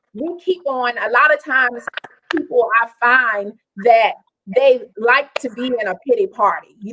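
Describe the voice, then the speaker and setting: At a fairly slow pace, a woman speaks loudly in a high pitch with lively intonation. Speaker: talk show host. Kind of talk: interview. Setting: live stream.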